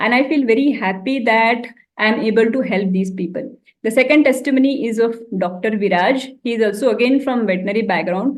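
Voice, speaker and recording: Her high-pitched voice as a woman carries ordinary pitch variation. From India, Maharashtra small town. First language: Marathi. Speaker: health coach and veterinary doctor. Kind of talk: motivational talk.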